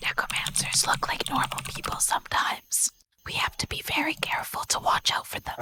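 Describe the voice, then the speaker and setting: Someone uses a raspy, put-on character voice at a fairly quick pace. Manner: hushed, wary.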